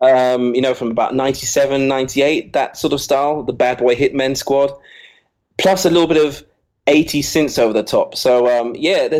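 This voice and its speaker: Ordinary pitch variation marks a man's talking at a medium pitch. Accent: English. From Jersey (Channel Islands). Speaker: DJ and music producer. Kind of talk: interview. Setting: Skype call.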